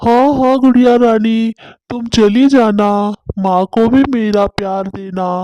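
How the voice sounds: A cartoonish character voice, fairly high in pitch, at a fairly slow pace.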